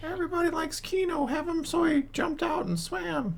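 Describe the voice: A put-on character voice, high in pitch, at a fairly quick pace over clear background noise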